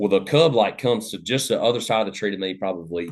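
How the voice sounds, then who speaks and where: A man speaks with an Appalachian accent. The background is quiet. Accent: Southern US (Appalachian). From US South, Western North Carolina. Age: 30s. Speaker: hunting podcast host, guest. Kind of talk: casual chat, storytelling. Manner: loud.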